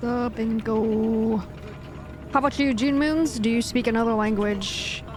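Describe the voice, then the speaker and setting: A woman with an American accent speaks fairly slowly at a fairly high pitch, with fairly even intonation and very even loudness. Music plays in the background. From USA, Cantonese-speaking Hong Kong family. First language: Cantonese. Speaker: gaming streamer. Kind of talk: live stream chat. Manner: casual, conversational.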